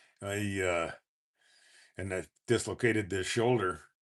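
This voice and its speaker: Against a quiet background, a man with a Canadian prairie accent talks at a moderate pace with fairly even intonation. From Saskatchewan, Canada. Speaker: motorcycle vlogger. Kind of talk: live stream chat. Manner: halting.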